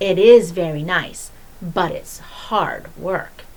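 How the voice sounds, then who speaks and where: A woman's put-on character voice at medium pitch and a very slow pace, over light background noise. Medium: read story. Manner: calm, gentle.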